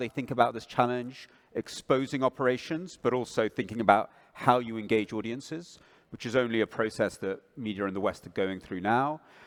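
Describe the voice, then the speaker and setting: A man at medium pitch with a British accent. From England. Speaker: propaganda researcher. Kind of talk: panel discussion.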